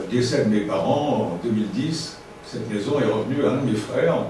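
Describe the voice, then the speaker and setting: This man speaks at a fairly quick pace with a medium pitch and ordinary pitch variation, with audible room echo and noticeable background noise. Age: 70s. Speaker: radio station director. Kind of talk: talk to an audience. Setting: evening talk with audience. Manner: halting, many hesitations.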